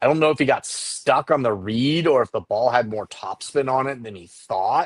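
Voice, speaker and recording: Speaking at a moderate pace in a plain, everyday voice, a man shows ordinary pitch variation and big swings in loudness, recorded dry and close with no echo. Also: medium pitch for a man. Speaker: baseball scout. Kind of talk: casual chat.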